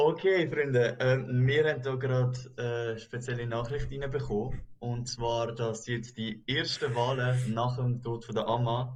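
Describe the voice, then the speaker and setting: A man talks at a very slow pace with hardly any pauses. His medium-pitched voice is somewhat breathy, with fairly even intonation. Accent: Swiss. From German-speaking Switzerland. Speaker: YouTube reaction host. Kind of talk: casual chat.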